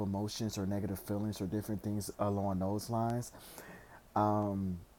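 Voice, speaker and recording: A soft-spoken man with a dark, mellow tone. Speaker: tarot reader. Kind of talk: tarot reading. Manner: halting.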